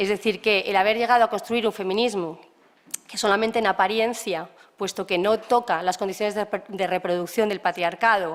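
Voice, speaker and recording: A woman speaks at a medium pitch and a fairly quick pace. Her intonation stays fairly even. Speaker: lecturer. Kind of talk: lecture. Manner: fast.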